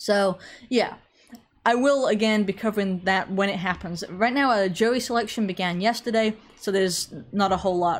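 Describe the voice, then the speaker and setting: A woman with an American accent talks at a medium pitch with ordinary pitch variation. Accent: English with slight American tinge. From England. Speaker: online commentator. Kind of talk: live social stream with chat. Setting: online livestream. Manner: conversational, informal.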